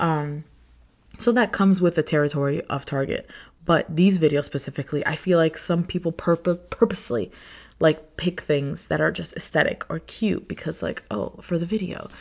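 In a very clean recording with a silent background, a woman with an American accent talks at a moderate pace in an animated tone, her fairly low voice showing vocal fry and ordinary pitch variation. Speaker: podcast host. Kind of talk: solo podcast, casual chat and venting. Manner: animated, rambling; halting, stutters at times.

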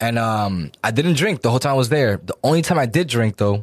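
With an American accent, a man speaks at a fairly quick pace in medium pitch, with lively intonation and an unremarkable speaking voice. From Dominican community, US. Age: 30s. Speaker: music artist and producer. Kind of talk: casual chat. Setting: studio.

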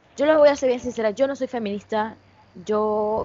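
An animated woman's voice at a fairly high pitch. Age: 20s. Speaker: gaming streamer. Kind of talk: casual chat.

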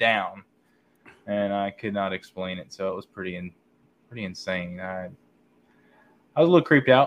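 Relaxed in tone, a man with a fairly low voice talks at a moderate pace, with ordinary pitch variation, big swings in loudness, and long, frequent pauses. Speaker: guest sharing story. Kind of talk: casual storytelling. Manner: relaxed, casual.

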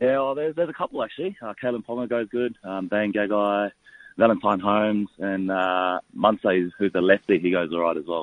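A man's fairly low voice with an Australian accent, at a moderate pace with ordinary pitch variation. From Bundaberg, Queensland, Australia (moved from New Zealand as child). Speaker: professional rugby league player. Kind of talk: radio interview. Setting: phone call.

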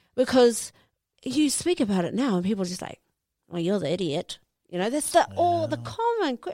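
A woman with a New Zealand accent talks at a moderate pace in a fairly high, dark and mellow voice. Her pitch swings very widely. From West Auckland, New Zealand. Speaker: professional boxer. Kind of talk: interview.

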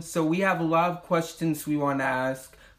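A man with an ordinary speaking voice talks fairly slowly. His pitch is fairly high and varies in an ordinary way. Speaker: podcast host. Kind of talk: casual interview.

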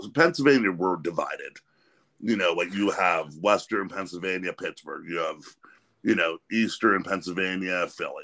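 The speaker is a man with a fairly low pitch. His tone is bright and sharp. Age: 40s. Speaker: podcast host. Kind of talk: casual chat.

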